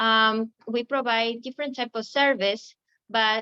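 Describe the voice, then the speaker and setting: A woman's fairly high voice with an Ecuadorian accent, at a fairly slow pace. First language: Spanish. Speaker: recruiting manager. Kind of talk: webinar presentation. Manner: halting, many fillers.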